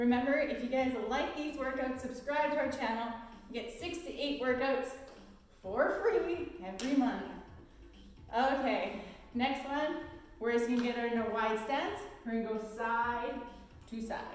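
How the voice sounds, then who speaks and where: The speaker talks at a moderate pace, with long and frequent pauses and ordinary pitch variation. Strong room echo surrounds the voice, over light background noise. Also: woman, high pitch for a woman. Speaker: fitness instructor. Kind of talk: workout instruction. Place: gym. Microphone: camera far.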